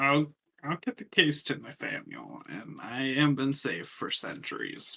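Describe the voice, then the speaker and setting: A put-on character voice at a fairly slow pace, with ordinary pitch variation and big swings in loudness. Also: man, fairly high pitch for a man. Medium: actual play.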